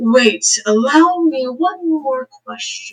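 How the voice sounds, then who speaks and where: A put-on character voice speaks very slowly at a high pitch. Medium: actual play. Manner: smooth, calm, coaxing.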